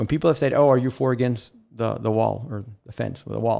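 Against a quiet background, a man talks at a fairly quick pace. His tone is dark and mellow, with ordinary pitch variation. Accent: South Texas. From South Texas (Rio Grande Valley, Rio Grande City). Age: 50s. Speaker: housing authority director. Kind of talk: casual interview. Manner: halting, frequent repetitions.

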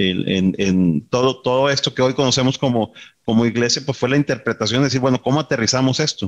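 A man talks at a fairly quick pace. His pitch is medium with ordinary variation. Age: 50s. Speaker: business executive. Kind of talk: interview. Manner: halting, many fillers and repetitions.

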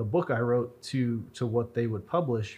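A man talks with an American accent. His voice is somewhat breathy, with ordinary pitch variation. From US Southwest, Roswell, New Mexico. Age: 30s. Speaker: author and historian. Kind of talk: casual interview. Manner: even-keeled.

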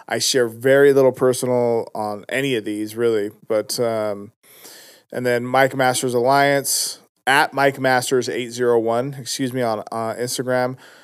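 The recording is very clean with a silent background. A man speaks fairly slowly at a medium pitch, flat and monotone. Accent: American. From Utah (West Valley). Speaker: rapper. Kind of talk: casual interview. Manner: casual, laughs often.

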